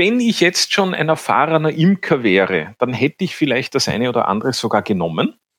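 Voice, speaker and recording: In a dry, close recording with no echo, a man with a fairly high pitch and vocal fry talks with hardly any pauses, very wide pitch swings and very even loudness. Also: fairly quick pace. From Vienna, Austria. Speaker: banker and beginner beekeeper. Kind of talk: interview.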